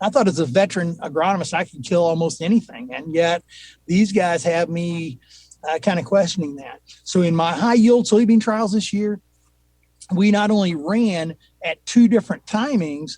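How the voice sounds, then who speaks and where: Here a man talks at a moderate pace in a high pitch. His pitch variation is ordinary. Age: 60s. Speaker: agronomist. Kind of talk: casual interview.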